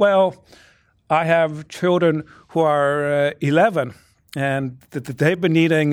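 A man with a fairly high pitch and a normal speaking voice talks at a fairly slow pace with fairly even intonation, on a very clean recording with a silent background. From born in Brazil, immigrant to Canada. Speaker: public policy professor. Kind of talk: lecture; audience Q&A answers. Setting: lecture hall with audience.

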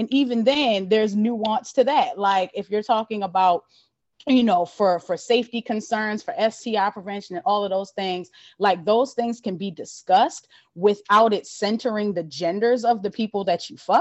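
In a plain, everyday voice, a woman with an American accent speaks at a moderate pace and fairly high pitch with ordinary pitch variation. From Baltimore, US East Coast. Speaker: poet. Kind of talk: casual chat.

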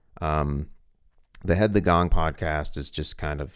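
A very deep, low-pitched male voice at a very slow pace on a very clean recording with a silent background. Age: 40s. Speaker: podcast host. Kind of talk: personal health update monologue. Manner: hesitant, many fillers.

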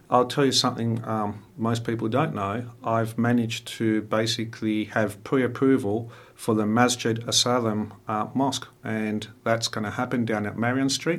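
With an Australian accent, a man talks in a medium-pitched, monotone, flat voice with hardly any pauses. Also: moderate pace. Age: 40s. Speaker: mayor. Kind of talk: radio interview. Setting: radio studio.

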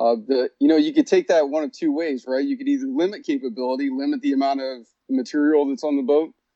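A man's unremarkable speaking voice with an American accent, fairly quick and with ordinary pitch variation, in a dry, close sound with no echo. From West Virginia mountains. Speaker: Coast Guard chief petty officer. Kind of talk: interview. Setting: remote call from a rest stop.

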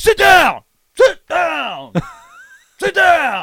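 The speaker adopts a put-on character voice at an extremely high pitch. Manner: gruff, shouting, commanding.

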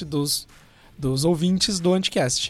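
A man speaks fairly slowly, and his pitch varies in an ordinary way. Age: 20s. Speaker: podcast host. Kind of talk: casual chat.

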